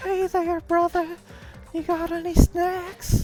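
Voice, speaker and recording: Clear music plays behind a squeaky, put-on character voice at an extremely high pitch. It moves at a fairly slow pace with monotone, flat intonation. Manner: cartoonish, friendly.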